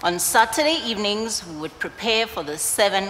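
There is light background noise behind this voice. A woman speaks at a fairly slow pace. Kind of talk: spoken-word stage monologue. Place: stage.

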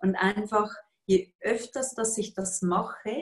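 Against a quiet background, a woman with a Swiss accent speaks at a very slow pace in a somewhat breathy voice. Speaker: yoga teacher and workshop facilitator; yoga teacher, coach. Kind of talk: interview answer. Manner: cheerful, calm, competent. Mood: calm, warm, reflective. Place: home room. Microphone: video call.

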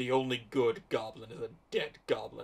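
This is a man using a put-on character voice. He is medium in pitch and moderate in pace.

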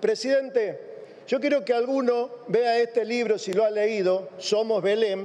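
At a fairly slow pace, a man speaks with an extremely high voice and ordinary pitch variation. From Argentina. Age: 50s. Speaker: politician. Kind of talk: parliamentary speech. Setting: parliament chamber. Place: hall. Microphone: podium.

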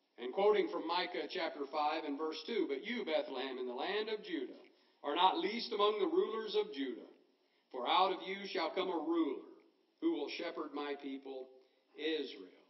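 A man talks in a high voice, and audible room echo follows his words. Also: ordinary pitch variation, moderate pace. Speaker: preacher. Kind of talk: sermon. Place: church. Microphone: podium.

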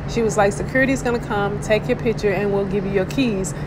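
A woman speaks at a fast pace with a medium pitch. Background noise is clearly audible.

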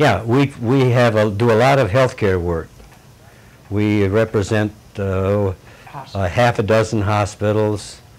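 Fairly slow, fairly low-pitched male speech. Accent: Upper Midwest. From US Midwest (northern Michigan). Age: 70s. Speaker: elderly local resident interviewed for oral history. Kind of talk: oral history interview. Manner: halting.

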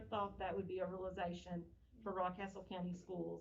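Speaking at a fairly quick pace, a woman comes through with audible room echo and noticeable background noise. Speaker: school district official. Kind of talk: board meeting presentation. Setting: meeting room, speaking through a face mask. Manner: fast.

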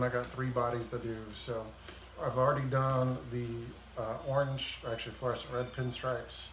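Light background noise and audible room echo surround a man speaking at a moderate pace. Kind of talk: casual live-stream chat. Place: garage. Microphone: phone near.

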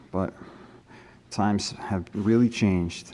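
A man's fairly low voice with ordinary pitch variation, over light background noise. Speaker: urban explorer vlogger. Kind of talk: casual vlog chat. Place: hall. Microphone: phone near.

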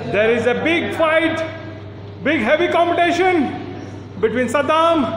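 In a room with audible echo and light background noise, a man speaks at an extremely high pitch in an animated tone, with ordinary pitch variation and a fairly slow pace. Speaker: commentator and cheerleader. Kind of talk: live arm wrestling commentary, play-by-play with cheering. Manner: animated hype-man announcer, builds drama for each new opponent. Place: gym. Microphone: phone near.

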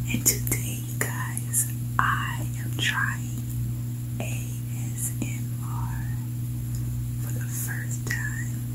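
Very slow speech from a woman, broken by long, frequent pauses. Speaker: food vlogger. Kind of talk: ASMR eating video talk to camera. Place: home room.

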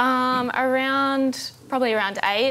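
At a fairly slow pace, a woman with an Australian accent speaks with ordinary pitch variation. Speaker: apprentice jockey. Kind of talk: TV interview. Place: studio. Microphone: lapel.

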